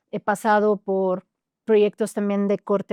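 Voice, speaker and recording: The background is quiet and the sound dry and close, with no echo. A woman speaks in a dark, mellow tone. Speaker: singer. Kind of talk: interview.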